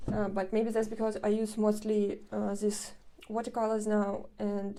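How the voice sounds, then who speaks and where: A woman with a non-native accent speaks at a fairly high pitch in a dark, mellow tone. Her delivery is fairly slow, with monotone, flat intonation. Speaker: artist. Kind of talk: casual vlog narration. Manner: hesitant, with many fillers.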